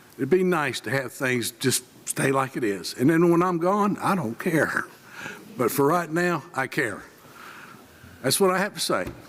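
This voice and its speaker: With noticeable background noise, a man talks at a moderate pace in a fairly high pitch, his intonation lively and his pauses long and frequent. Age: 70s. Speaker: resident speaking at public hearing. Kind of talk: public comment at government meeting.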